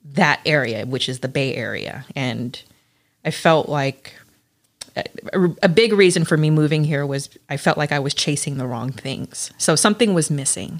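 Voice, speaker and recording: A woman speaks at a very deep, low pitch with lively intonation. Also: moderate pace. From California, Los Angeles. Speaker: host's wife. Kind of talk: casual chat. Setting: cigar lounge.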